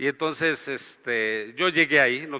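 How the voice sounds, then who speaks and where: A man talks in a bright, sharp tone. The recording is very clean and the background silent. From Mexico, Durango (Gómez Palacio). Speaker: pastor. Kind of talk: testimony.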